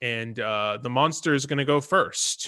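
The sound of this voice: A man talks at a medium pitch with lively intonation. His tone is bright and sharp.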